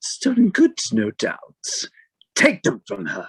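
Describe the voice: Using a put-on character voice, a man speaks at a fairly slow pace. The sound is dry and close, with no echo.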